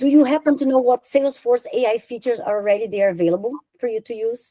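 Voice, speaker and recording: Speaking in a Brazilian accent at a fairly quick pace, a woman has a fairly high pitch, a dark, mellow tone and ordinary pitch variation, in a dry, close sound with no echo. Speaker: software consultant. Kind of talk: conference talk.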